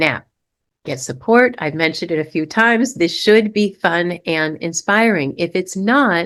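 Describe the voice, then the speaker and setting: A fairly low-pitched woman with lively intonation, at a fairly slow pace, quiet background. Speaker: relationship coach. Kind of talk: online masterclass presentation. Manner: loud; animated.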